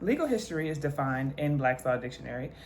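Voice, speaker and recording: The speaker talks at a very fast pace with lively intonation. Audible room echo surrounds the voice. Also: woman. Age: 20s. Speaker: law student and history content creator. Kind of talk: educational video monologue. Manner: casual, conversational; reading definitions aloud.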